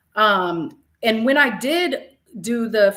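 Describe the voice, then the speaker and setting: A woman speaks loud in a bright, sharp, animated tone. Her pitch swings very widely. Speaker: math educator and leader. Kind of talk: casual interview conversation.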